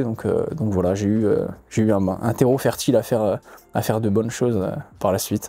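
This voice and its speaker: A man speaks with a dark, mellow tone and fairly even intonation. The recording is very clean, with a silent background. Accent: slight Corsican. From Corsica. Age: young. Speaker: fighter. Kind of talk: podcast interview. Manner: hesitant, many fillers.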